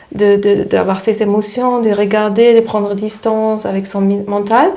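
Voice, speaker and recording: With a slight German accent, a woman speaks fairly slowly at medium pitch in a monotone, flat delivery, with audible room echo and noticeable background noise. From East Germany. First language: German (speaking French). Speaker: spiritual therapist. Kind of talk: interview. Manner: halting, many hesitations.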